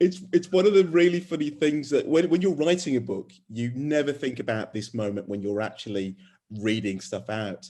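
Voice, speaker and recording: In a Birmingham accent, a man speaks at a moderate pace with a dark, mellow tone. His pitch is fairly high and swings very widely. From England, Birmingham. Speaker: author. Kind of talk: casual chat; reading aloud. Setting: video call. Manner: halting.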